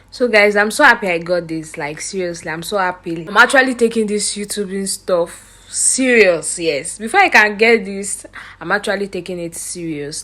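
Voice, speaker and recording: Speaking at a moderate pace with a Nigerian accent, a woman has a medium pitch, ordinary pitch variation and a bright, sharp tone. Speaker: vlogger. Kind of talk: casual vlog talk. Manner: animated.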